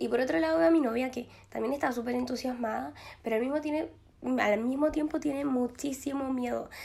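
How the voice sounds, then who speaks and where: Lively intonation from a woman with a high pitch, a dark, mellow tone and a fairly quick pace. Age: 20s. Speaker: podcast host. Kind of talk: casual monologue. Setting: empty glass-walled office. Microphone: possible echo in empty room.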